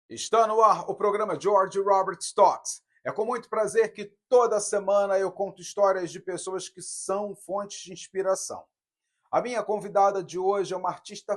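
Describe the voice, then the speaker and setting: Loudness swings widely as a man with a high pitch speaks at a fairly slow pace with fairly even intonation. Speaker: talk show host. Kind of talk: show introduction.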